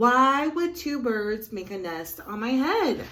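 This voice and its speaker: A woman's high, put-on character voice at a fairly slow pace. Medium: read story. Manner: fretful.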